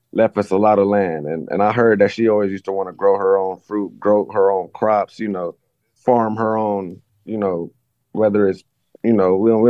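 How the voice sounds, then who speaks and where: A man with a normal speaking voice and an American accent talks at a fairly low pitch. His pace is moderate and his intonation fairly even. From US West Coast. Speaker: study group participant. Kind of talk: casual chat. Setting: video call.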